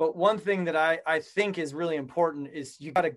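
With an American accent, a man talks at a moderate pace in a fairly high pitch, with ordinary pitch variation and a normal speaking voice. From Colorado, US. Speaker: entrepreneur. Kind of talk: interview.

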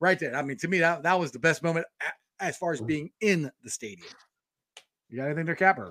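A man with an American accent speaks at a fairly quick pace in a high pitch, his bright, sharp tone carrying ordinary pitch variation in a dry, close sound with no echo. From Cincinnati, Ohio. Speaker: sports podcast host. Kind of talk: casual sports chat livestream. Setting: home studio livestream. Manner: animated.

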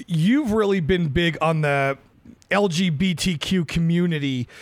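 An unremarkable speaking voice from a man at a fairly high pitch with ordinary pitch variation. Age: 30s. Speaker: podcast host and bar owner. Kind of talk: casual interview.

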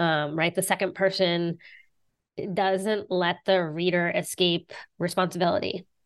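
Against a quiet background, a woman speaks in an unremarkable speaking voice, fairly low in pitch, at a fairly slow pace with fairly even intonation. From southern West Virginia. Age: 40s. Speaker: author and teacher. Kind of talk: interview.

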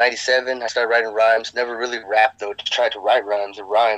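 His tone is bright and sharp. The man's pitch is medium. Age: 30s. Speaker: rapper. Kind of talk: casual interview.

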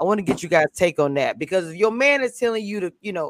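Very fast and animated, a woman talks with lively intonation, the sound dry and close with no echo. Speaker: YouTube live panel host. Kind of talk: casual chat. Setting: online video call.

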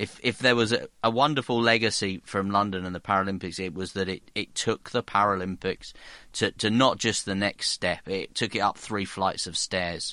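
With a southern English accent, a man speaks at a fairly low pitch and moderate pace, his tone bright and sharp, his intonation fairly even, against a quiet background. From South Hertfordshire, England. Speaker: sports podcast host. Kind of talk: casual chat.

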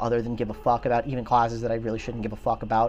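A man with an American accent and a medium-pitched voice, talking very fast over noticeable background noise. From South Carolina. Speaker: military veteran. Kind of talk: casual chat. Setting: outdoors.

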